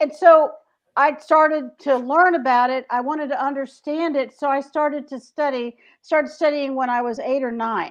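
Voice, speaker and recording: A woman with a Southern US accent speaks at a moderate pace and a high pitch with fairly even intonation. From US South, Greensboro, North Carolina. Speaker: author. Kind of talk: casual chat.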